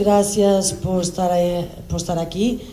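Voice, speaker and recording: A woman speaks at a very slow pace, with audible room echo and noticeable background noise. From Portugal. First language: Portuguese (speaking Spanish). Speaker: politician, election observer. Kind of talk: press conference statement. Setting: press conference.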